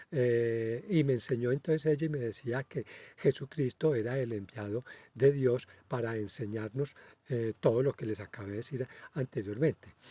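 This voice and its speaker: With a dark, mellow tone, a man speaks at medium pitch and a moderate pace with ordinary pitch variation, the sound dry and close with no echo. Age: 60s. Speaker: spiritual medium, channel host. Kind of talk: casual monologue. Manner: halting, many filler hesitations.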